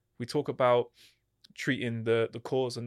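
In a very clean recording with a silent background and a dry, close sound with no echo, a man speaks at medium pitch with a southern English accent. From Hertfordshire, England. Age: 30s. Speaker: kickboxing champion turned mental health coach. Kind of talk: podcast interview.

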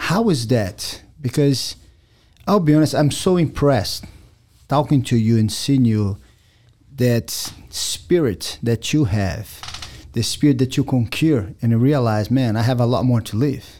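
A man's medium-pitched voice with a dark, mellow tone and ordinary pitch variation, at a fairly slow pace with long, frequent pauses. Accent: Brazilian. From Brazil. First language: Portuguese. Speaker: podcast host. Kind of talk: casual chat.

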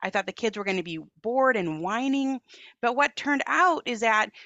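With an American accent, a woman talks at a fairly quick pace in a high pitch, her intonation lively. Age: 40s. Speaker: author and parenting movement founder. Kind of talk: interview conversation.

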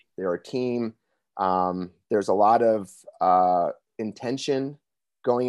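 A man with an ordinary speaking voice keeps a fairly even intonation, and the sound is dry and close with no echo. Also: quiet background. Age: 40s. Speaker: author and men's coach. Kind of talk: casual chat.

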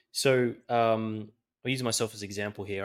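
With an Australian accent and a fairly low pitch, a man speaks at a moderate pace in a monotone, flat intonation. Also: very clean recording, silent background. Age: 20s. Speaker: podcast host. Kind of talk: interview.

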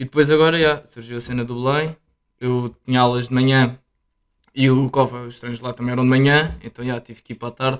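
This man's intonation stays monotone and flat. He speaks at a fairly quick pace. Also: medium pitch for a man. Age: 20s. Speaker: university student and footballer. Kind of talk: casual chat.

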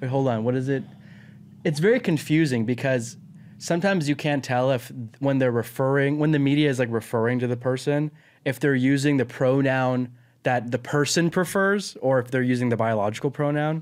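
On a very clean recording with a silent background, an ordinary speaking voice moves at a fairly quick pace with ordinary pitch variation. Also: man, medium pitch for a man. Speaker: cousin, co-host. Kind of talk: casual comedic chat. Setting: studio.

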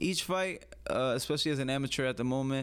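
A man speaks with a New York accent. His pitch is medium and his pace moderate. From US Northeast, the Bronx, New York City. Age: young. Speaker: amateur MMA fighter. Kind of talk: casual interview.

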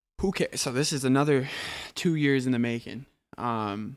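Here is a man at medium pitch with an American accent and an unremarkable speaking voice. He speaks at a moderate pace in a very clean recording with a silent background. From US Upper Midwest, Minneapolis. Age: 20s. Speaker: rapper and music producer. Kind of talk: casual chat.

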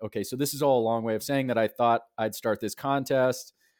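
A man with a normal speaking voice at a medium pitch and a fairly quick pace, in a very clean recording with a silent background. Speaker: publisher and writer. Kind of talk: casual interview conversation. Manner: thoughtful, uses fillers.

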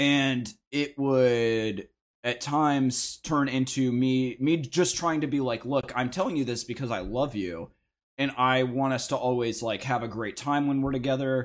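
In a very clean recording with a silent background, a man with an unremarkable speaking voice talks at a fairly slow pace in a medium pitch with ordinary pitch variation. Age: 20s. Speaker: podcast guest. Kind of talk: casual chat.

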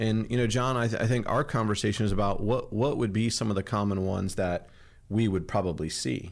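Here is an ordinary speaking voice from a man with a fairly low pitch and ordinary pitch variation. He keeps a fairly quick pace and very even loudness. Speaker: podcast host. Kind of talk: casual business chat.

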